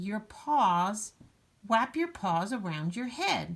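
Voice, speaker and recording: A woman puts on a squeaky character voice at a medium pitch. She speaks very slowly. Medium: read story.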